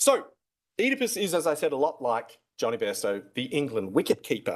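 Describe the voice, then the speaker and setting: A fairly quick pace in an Australian accent, on a very clean recording with a silent background. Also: man. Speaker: classics academic. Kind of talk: debate speech. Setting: stage with audience. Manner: animated.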